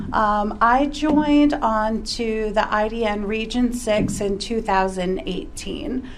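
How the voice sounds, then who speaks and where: A woman speaks at a fairly high pitch, with audible echo in the room. Noticeable background noise runs underneath. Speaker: care coordination director. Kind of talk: panel discussion. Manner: loud.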